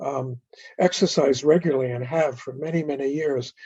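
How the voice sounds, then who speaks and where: Speaking at a fairly slow pace, the man has a dark, mellow tone, somewhat breathy, with ordinary pitch variation. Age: 70s. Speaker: physician. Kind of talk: interview.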